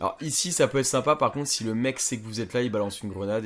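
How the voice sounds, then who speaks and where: This man talks at a fairly quick pace. His pitch moves up and down in an ordinary way. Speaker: gaming youtuber. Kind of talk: gameplay commentary. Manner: casual, hesitant with fillers; speaking quietly.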